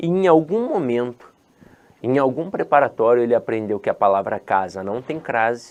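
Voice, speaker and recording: A man with a strong Rio de Janeiro accent talks at a moderate pace and medium pitch in an animated tone. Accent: strong Rio de Janeiro (carioca). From Rio de Janeiro, Brazil (born in Ceará, moved at ten months). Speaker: teacher. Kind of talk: lecture. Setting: online course video. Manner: animated, informal.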